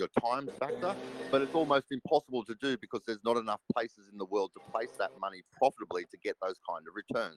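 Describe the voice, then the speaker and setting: This man has an Australian accent. His voice comes through close and dry, with no echo at all. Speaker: crypto project team member. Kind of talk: live audio AMA chat.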